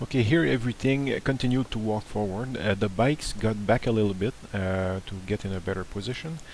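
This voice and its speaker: In a French Canadian accent, a man speaks at a fairly quick pace, his fairly low pitch showing ordinary variation. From Montreal, Quebec, Canada. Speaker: tabletop wargaming hobbyist. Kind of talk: battle report voice-over narration. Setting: home recording with background hiss.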